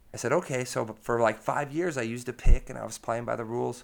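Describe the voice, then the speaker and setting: A man with an American accent and a plain, everyday voice, at a fairly quick pace with ordinary pitch variation, in a very clean recording with a silent background. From United States. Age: 30. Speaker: blues-rock guitarist and singer. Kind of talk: casual interview. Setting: in person at the club.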